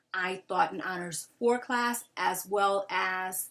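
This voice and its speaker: A woman's bright, sharp, medium-pitched voice with a slight New York accent. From Brooklyn, New York City. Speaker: Spanish teacher. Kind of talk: job application video. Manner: casual, many filler ums.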